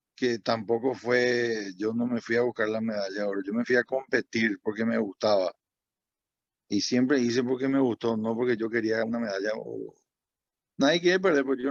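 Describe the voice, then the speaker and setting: A man's medium-pitched voice at a moderate pace. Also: dry, close sound with no echo. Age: 60s. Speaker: former diving champion. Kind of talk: talk to students. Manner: halting.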